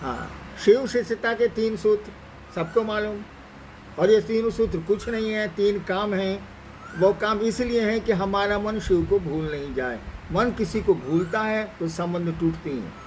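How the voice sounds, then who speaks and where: Speaking in a high pitch, a man is heard through noticeable background noise. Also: ordinary pitch variation. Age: 70s. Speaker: spiritual teacher. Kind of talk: spiritual talk answering questions. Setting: live Facebook stream.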